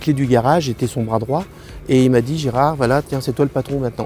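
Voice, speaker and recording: A man's fairly high voice comes through with music playing in the background. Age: 70s. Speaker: car dealership consultant. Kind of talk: interview testimony. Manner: halting, many repetitions.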